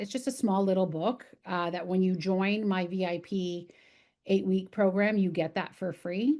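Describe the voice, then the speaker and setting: Against a quiet background, a woman with a Canadian accent talks at a medium pitch with ordinary pitch variation. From Canada, downtown Toronto. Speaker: podcast host and motivational speaker. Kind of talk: interview conversation. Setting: podcast recording. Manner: loud; animated.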